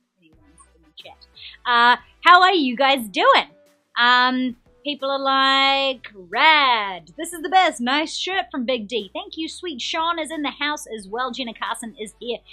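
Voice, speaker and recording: In a New Zealand accent, a woman projects a raised, high-pitched voice with a bright, sharp tone and lively intonation against a quiet background. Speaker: game show host. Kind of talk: live-stream quiz hosting. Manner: animated; fast.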